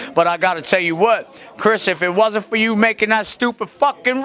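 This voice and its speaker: A man's raised, projected voice at a fairly quick pace. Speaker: interviewee. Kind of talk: interview answer. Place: hall. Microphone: handheld.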